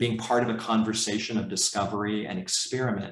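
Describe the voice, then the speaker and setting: A man speaks in an unremarkable speaking voice at a medium pitch, with fairly even intonation. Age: 60s. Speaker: professor and leadership coach. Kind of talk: conference talk.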